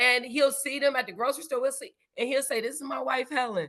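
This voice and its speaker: A loud, animated woman with a bright, sharp tone, high pitch and fairly quick pace. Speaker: podcast host. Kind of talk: casual chat.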